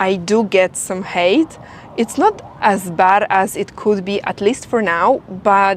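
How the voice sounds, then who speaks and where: A woman speaks with ordinary pitch variation. Noticeable background noise can be heard. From Poland. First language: Polish. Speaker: English teacher and influencer. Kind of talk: tutorial. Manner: animated.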